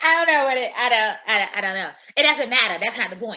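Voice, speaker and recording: Loud and bright with a sharp tone, a woman speaks at a fairly high pitch with lively intonation. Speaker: panelist. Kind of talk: panel discussion.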